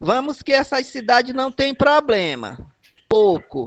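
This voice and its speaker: Ordinary pitch variation accompanies delivery at a fairly slow pace. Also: man. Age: 60s. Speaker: community health worker. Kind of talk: casual chat. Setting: video call.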